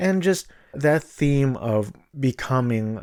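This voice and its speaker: On a very clean recording with a silent background, a man speaks in a dark, mellow tone. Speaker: movie reviewer. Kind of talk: casual monologue review. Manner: low energy.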